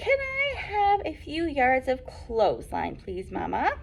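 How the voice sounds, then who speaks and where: Over clear background noise, a woman does a squeaky put-on character voice with an extremely high pitch. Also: fairly slow pace. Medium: read story.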